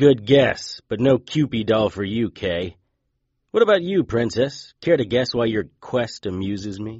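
A normal speaking voice with lively intonation, delivered at a fairly slow pace. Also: man, medium pitch for a man. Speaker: fictional private investigator and narrator. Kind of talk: horror audio drama with noir-style first-person narration. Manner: growls defiant insults, sarcastic and gruff in the tense confrontations.

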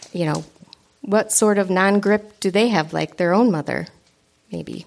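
A woman speaks with a slight Upper Peninsula accent. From Michigan Upper Peninsula. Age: 40s. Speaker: runner, podcast guest. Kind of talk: live podcast conversation. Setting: stage with audience.

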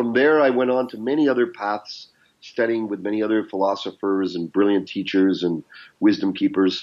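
Using a plain, everyday voice, a man with a Canadian accent talks at a moderate pace with a fairly low pitch and ordinary pitch variation. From Canada. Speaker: business mentor and coach. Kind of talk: interview conversation.

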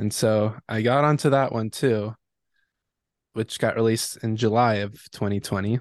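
In a plain, everyday voice, a man with an American accent speaks at a medium pitch and moderate pace with fairly even intonation, recorded dry and close with no echo against a quiet background. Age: 20s. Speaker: electronic music producer. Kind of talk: interview.

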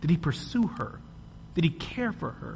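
Speaking at a fairly slow pace, a man delivers his lines in a dramatic tone amid audible room echo. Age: 30s. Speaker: podcast host and guest preacher. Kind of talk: Sunday sermon from the pulpit, rhetorical questions and testimony. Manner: dramatic, building cadence with rhetorical questions; earnest, rhythmic repetition of paired phrases.

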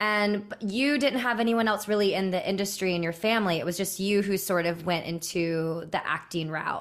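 A woman's normal speaking voice at medium pitch, moderate pace and ordinary pitch variation, very even loudness, hardly any pauses, on a very clean recording with a silent background. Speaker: podcast host. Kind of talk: casual interview chat.

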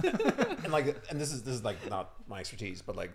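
A man speaks with a slight Irish accent. His pace is moderate. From Ireland. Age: 30s. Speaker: startup founder and CEO. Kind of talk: casual chat. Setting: studio.

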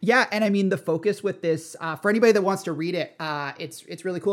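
The speaker has a Canadian accent. The pace is very fast. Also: man. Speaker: tech educator and community manager. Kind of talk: casual chat. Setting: remote call. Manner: halting, many fillers and repetitions.

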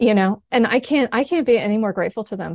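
There is vocal fry in this woman's fairly high-pitched voice. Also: dry, close sound with no echo. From US Pacific Northwest, Oregon. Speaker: novelist. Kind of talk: interview. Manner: halting.

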